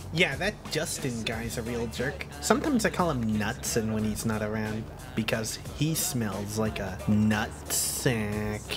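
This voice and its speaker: A cartoonish character voice speaks low at a fairly slow pace. Loud background noise runs behind it. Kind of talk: adult animated cartoon voice acting. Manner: self-pitying, oblivious.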